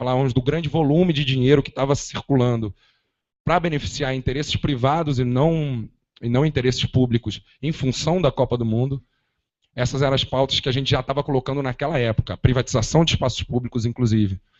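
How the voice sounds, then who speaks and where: A man with a plain, everyday voice speaks at a medium pitch and a fairly quick pace, his intonation fairly even. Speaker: activist. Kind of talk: panel debate talk. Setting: auditorium with audience.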